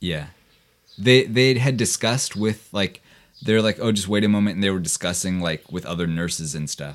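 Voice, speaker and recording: A man's fairly low voice moves at a moderate speed, its pitch varying in an ordinary way. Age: 20s. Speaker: programmer and suicide attempt survivor. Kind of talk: personal testimony in casual conversation. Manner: halting, many fillers.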